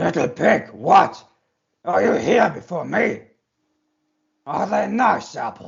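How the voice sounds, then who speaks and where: Raspy and high, a man's put-on character voice moves fairly slowly. He leaves long, frequent pauses. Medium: read story. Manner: wheedling, with drawn-out "ah" and "hmm".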